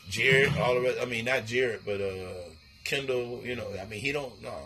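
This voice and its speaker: Noticeable background noise and audible room echo surround this man's medium-pitched voice. He speaks at a fairly quick pace with ordinary pitch variation. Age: 50s. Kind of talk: casual chat.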